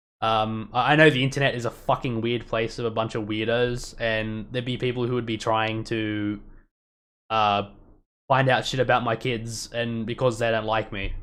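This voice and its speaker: A man speaks in an Australian accent at a medium pitch. His intonation is monotone and flat. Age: 30s. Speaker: youtuber. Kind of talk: casual live stream commentary. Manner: fast, stumbling.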